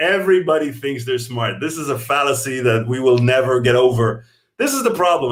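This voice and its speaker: A man talks in a somewhat breathy voice. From Israel. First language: Hebrew. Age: 40s. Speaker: comedian and TV writer. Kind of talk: live-stream comedy chat. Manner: animated, profane.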